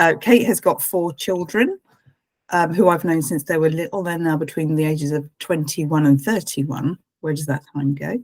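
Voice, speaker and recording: With an English accent, a woman speaks at a moderate pace in a very deep, low pitch, with ordinary pitch variation. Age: 60s. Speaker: life coach. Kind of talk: casual chat. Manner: halting.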